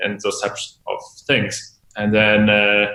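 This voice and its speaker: A man at a medium pitch in a German accent, at a very slow pace. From Germany. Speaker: tech company executive. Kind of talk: interview.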